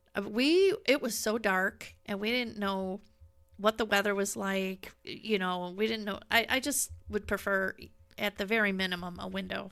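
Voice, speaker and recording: A woman speaks in an ordinary speaking voice at a medium pitch, with a moderate pace and fairly even intonation. The recording is very clean, with a silent background. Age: 60s. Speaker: podcast co-host. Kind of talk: casual chat.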